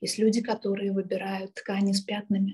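A woman's voice comes across as somewhat breathy. Her intonation is monotone and flat. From Kyiv, Ukraine. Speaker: art therapist and trainer. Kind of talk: interview.

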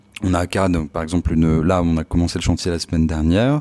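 The pace here is very fast. A man talks with a very deep, low pitch. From Paris region (Palaiseau). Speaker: architect and start-up founder. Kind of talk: interview. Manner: hesitant, many fillers.

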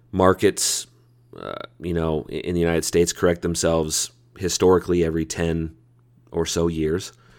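A man's very deep, low voice is captured on a very clean recording with a silent background. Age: 30s. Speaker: podcast host and marketing agency owner. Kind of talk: solo podcast book summary.

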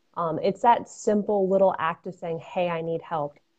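A woman's ordinary speaking voice with an American accent, fairly even intonation and moderate pace. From Connecticut, Fairfield County. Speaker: runner and mental health advocate. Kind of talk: casual interview.

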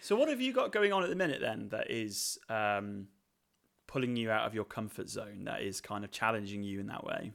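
A man at a fairly quick pace, on a very clean recording with a silent background. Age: 30s. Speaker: curate co-host. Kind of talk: casual chat. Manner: halting.

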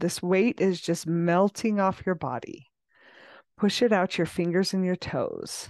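A woman speaks at a fairly slow pace with ordinary pitch variation and a normal speaking voice. The background is quiet. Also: medium pitch for a woman. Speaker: podcast host and coach. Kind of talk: guided meditation. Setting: video recording for YouTube and podcast. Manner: soothing, slow and calm; gentle, coaxing and unhurried.

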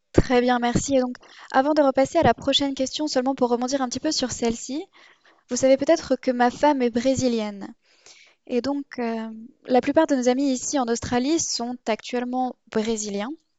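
A woman speaks at a moderate pace with a high pitch. Her intonation stays fairly even. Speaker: podcast host. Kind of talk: interview, hosting a podcast.

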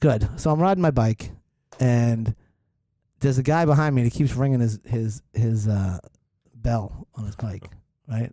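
A man with a Boston accent, dark and mellow in tone at medium pitch, fairly slow with long, frequent pauses and ordinary pitch variation. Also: dry, close sound with no echo. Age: 40s. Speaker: podcast host. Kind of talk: casual chat.

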